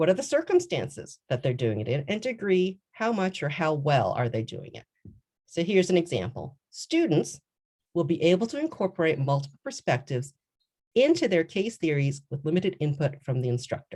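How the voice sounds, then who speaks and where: Very deep, low-pitched woman's voice, somewhat breathy and dark and mellow in tone, with very wide pitch swings and a fairly quick pace. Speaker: law professor. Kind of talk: conference presentation. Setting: virtual conference, video call.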